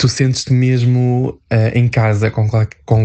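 A man's dark, mellow voice, flat and monotone, at a fairly slow pace. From northern Portugal, near Porto. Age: 20s. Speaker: human resources worker. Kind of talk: interview. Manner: hesitant.

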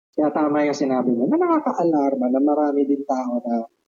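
The man's tone is dark and mellow, yet his pitch is fairly high. He speaks at a moderate pace. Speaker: podcast co-host. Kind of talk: casual chat.

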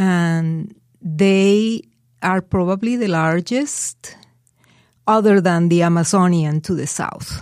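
On a very clean recording with a silent background, a woman with a Spanish accent speaks at a very slow pace, her medium pitch showing ordinary variation. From Colombia, Barranquilla. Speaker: guest immigrant from Colombia. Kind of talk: interview, casual chat. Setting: studio.

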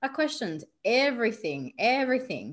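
A woman speaks with an Australian accent. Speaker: spiritual coach. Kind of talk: interview.

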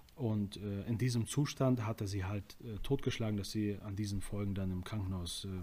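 A man talks at a fairly quick pace and a fairly low pitch, his voice somewhat breathy with a dark, mellow tone and ordinary pitch variation. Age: 20s. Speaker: prison ministry volunteer. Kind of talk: casual interview.

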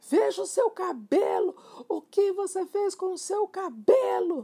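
A shrill, put-on character voice at an extremely high pitch and a fairly slow pace. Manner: exclaiming, alarmed.

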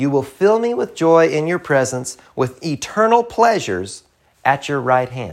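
A man with a Southern US accent speaks at a fairly slow pace, his pitch swinging very widely. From US South, rural. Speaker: preacher, podcast host. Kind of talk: sermon.

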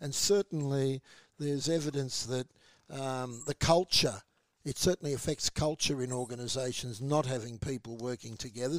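A man speaks with an Australian accent on a very clean recording with a silent background and a dry, close sound with no echo. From Australia (Melbourne). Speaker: community radio host. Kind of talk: casual news discussion on radio. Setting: radio studio.

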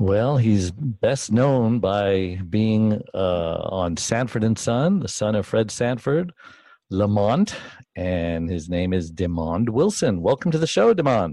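Very slowly, a man with a fairly low pitch and a dark, mellow tone speaks with lively intonation. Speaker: co-host, caregiver advocate. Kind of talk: interview.

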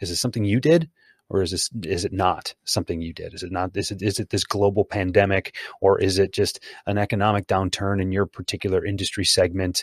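Very fast and fairly low-pitched, a man speaks with fairly even intonation. The sound is dry and close with no echo, on a very clean recording with a silent background. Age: 40s. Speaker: sales consultant and author. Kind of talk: casual interview.

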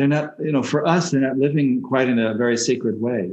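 This is a normal speaking voice at a moderate pace. The pitch variation is ordinary. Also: man. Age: 60s. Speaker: shamanic healer. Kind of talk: interview.

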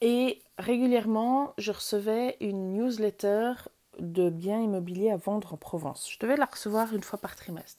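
Speaking at a moderate pace, a woman has a fairly high pitch, ordinary pitch variation, and a dark, mellow tone. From Switzerland, canton of Vaud. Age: 40s. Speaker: wellbeing podcaster. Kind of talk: personal storytelling monologue. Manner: hesitant with fillers.

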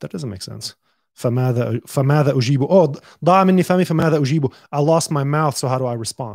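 Speaking at a moderate pace with an Arabic accent, a man keeps a fairly high pitch and ordinary pitch variation. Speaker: podcast host. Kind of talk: casual chat. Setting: live-streamed studio conversation.

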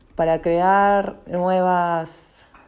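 With a dark, mellow tone and fairly low pitch, a woman speaks very slowly in a flat, monotone way. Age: 30s. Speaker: local politician. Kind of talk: testimony.

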